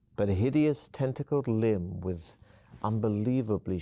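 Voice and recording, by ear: A natural voice reading aloud.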